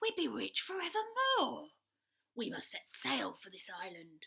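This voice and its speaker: A woman puts on a gruff, growling character voice pitched high. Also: moderate pace. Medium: read story. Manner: gruff, blustering.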